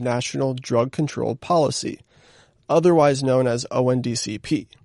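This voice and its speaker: With a normal speaking voice, a man at a medium pitch talks at a fairly slow pace with ordinary pitch variation, dry and close with no echo over a quiet background. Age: 30s. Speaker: podcast host. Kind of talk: scripted intro; interview. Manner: casual, filler-heavy questions.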